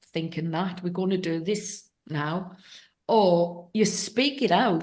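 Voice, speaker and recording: With an English accent, a woman speaks at a very slow pace using ordinary pitch variation. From England. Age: 60s. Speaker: podcast host. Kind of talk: interview conversation.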